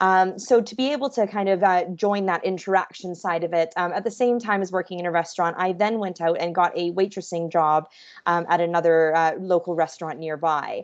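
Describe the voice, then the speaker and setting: With hardly any pauses, a woman in a Canadian accent talks at a fairly quick pace against a quiet background. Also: medium pitch for a woman, ordinary pitch variation. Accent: Canadian, noticeable. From Canada, Vancouver. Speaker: hospitality professional. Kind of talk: webinar talk. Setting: video call.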